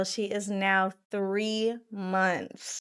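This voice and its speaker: An animated woman's voice at medium pitch. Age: 30s. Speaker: podcast host. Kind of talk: casual chat.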